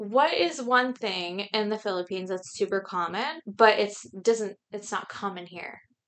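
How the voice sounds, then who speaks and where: A woman speaks in an ordinary speaking voice at a moderate pace. Her pitch is fairly high, with ordinary variation. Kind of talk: casual chat.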